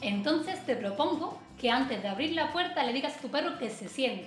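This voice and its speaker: A woman's high voice at a moderate pace, with audible room echo and faint music in the background. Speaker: dog trainer. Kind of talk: tutorial. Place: home room.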